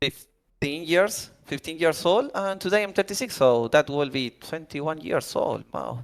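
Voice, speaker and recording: Recorded very cleanly against a silent background, a man speaks at a fairly slow pace in a fairly high pitch with very wide pitch swings. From Argentina. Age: 30s. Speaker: online game clan leader. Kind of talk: podcast interview. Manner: halting.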